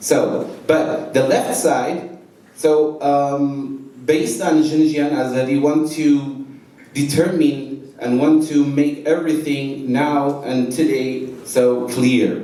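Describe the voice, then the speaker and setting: With a Kurdish accent, a man speaks at a very slow pace in a monotone, flat intonation with a fairly high pitch and very even loudness. Noticeable background noise and audible room echo fill the recording. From Iranian Kurdistan. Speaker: activist speaker. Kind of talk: seminar speech. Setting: seminar hall with audience. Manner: halting, many fillers and self-corrections.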